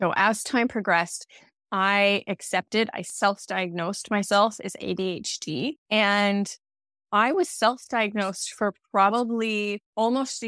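A woman's normal speaking voice with an American accent, medium in pitch with ordinary pitch variation, on a very clean recording with a silent background and a dry, close sound with no echo. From United States. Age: 30s. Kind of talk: solo podcast monologue.

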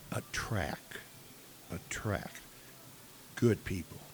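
A man with an American accent speaks at a very slow pace, leaving long, frequent pauses. Noticeable background noise is present. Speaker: podcast host. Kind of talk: casual interview chat. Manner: halting.

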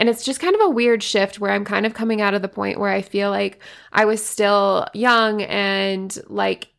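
A woman with a medium pitch is heard on a very clean recording with a silent background. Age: 20s. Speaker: fitness coach and podcast host. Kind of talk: casual solo monologue.

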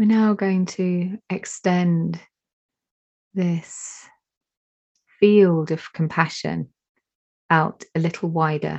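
Calm and soothing, a woman with a fairly low pitch speaks at a very slow pace. Her intonation stays fairly even, broken by long, frequent pauses. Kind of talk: guided meditation. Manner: slow, calm, soothing.

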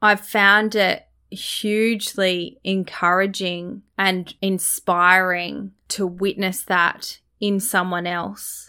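Very slowly, a woman talks with an Australian accent in a flat, monotone way. Her tone is bright and sharp, and the recording is very clean with a silent background. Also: medium pitch for a woman. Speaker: podcast host and cross-cultural communication specialist. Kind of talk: podcast monologue. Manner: reflective, sincere.

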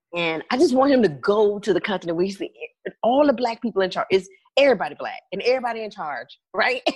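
A woman speaks at a fairly high pitch with very wide swings in her pitch. The sound is dry and close, with no echo. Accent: American. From US South, Birmingham, Alabama. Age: 40s. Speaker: consulting firm founder. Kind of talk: casual interview.

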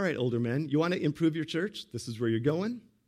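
This man has an unremarkable speaking voice, pitched fairly high. He talks at a fairly quick pace with lively intonation. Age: 50s. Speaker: pastor. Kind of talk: sermon.

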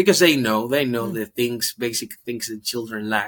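Speaking with a Spanish accent, a man uses a medium pitch and a bright, sharp tone. His pace is moderate. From Dominican Republic. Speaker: ministry worker. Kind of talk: testimony.

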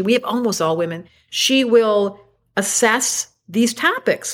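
On a very clean recording with a silent background, a woman talks in a fairly high voice with ordinary pitch variation. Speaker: astrologer. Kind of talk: casual chat. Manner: animated.

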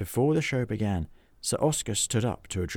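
Someone reads aloud in a natural voice with lively intonation.

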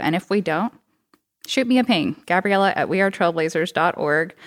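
In an American accent, the speaker talks at a moderate pace with ordinary pitch variation and an ordinary speaking voice. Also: woman. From Texas. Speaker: cycling program coordinator and bike mechanic. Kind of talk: casual interview. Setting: studio.

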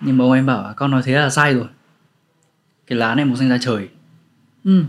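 This man's voice sits at a medium pitch with ordinary pitch variation. He talks at a fairly quick pace. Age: 20s. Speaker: author and storyteller. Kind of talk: casual interview chat.

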